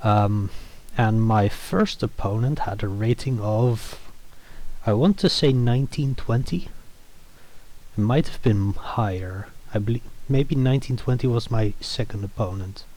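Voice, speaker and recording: Somewhat breathy and dark, mellow in tone, a man with a non-native accent speaks with ordinary pitch variation and long, frequent pauses. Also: medium pitch for a man, fairly slow pace. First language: not English. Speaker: chess player and content creator. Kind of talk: game recap commentary. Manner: halting, many fillers.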